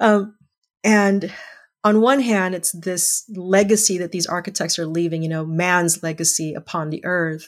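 A woman with an ordinary speaking voice talks at a fairly slow pace in a fairly low pitch with fairly even intonation, on a very clean recording with a silent background. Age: 50s. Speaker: English teacher and photographer. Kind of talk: casual chat.

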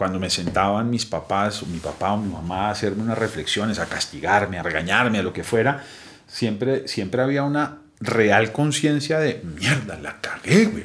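A man with a normal speaking voice talks at a moderate pace with hardly any pauses. His fairly low pitch carries lively intonation. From Colombia, Bogotá. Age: 40s. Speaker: recovered addict, founder of a recovery project. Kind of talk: personal testimony. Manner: casual, slangy.

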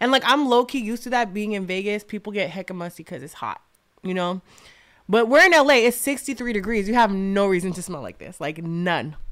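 A woman with an unremarkable speaking voice talks at a medium pitch and a fairly quick pace. Her intonation is lively, and her loudness swings a lot. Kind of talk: casual chat.

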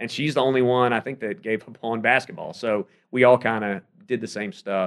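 A man with an American accent in an ordinary speaking voice, ordinary pitch variation and a fairly quick pace, over a quiet background. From South Carolina. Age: 30s. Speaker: sports radio host and play-by-play announcer. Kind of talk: casual interview chat.

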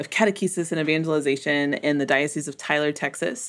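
In a very clean recording with a silent background, a woman with an American accent and a normal speaking voice talks at a fairly quick pace in a fairly low pitch. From US South, Memphis. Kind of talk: podcast interview.

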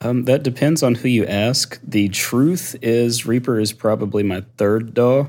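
Speaking with an American accent, the voice keeps a fairly slow pace and very even loudness with hardly any pauses. Pitch variation is ordinary. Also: man, medium pitch for a man. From US South. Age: 40s. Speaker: audio engineer and content creator. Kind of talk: casual interview chat. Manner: laid back.

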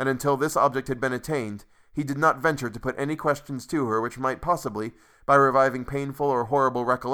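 Intonation stays fairly even in a natural reading voice.

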